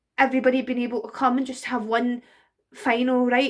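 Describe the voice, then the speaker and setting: A woman with a Glaswegian accent speaks in a high voice. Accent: Glaswegian Scottish. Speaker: burlesque performer. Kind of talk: casual talk to camera, personal tribute. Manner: emotional, hesitant.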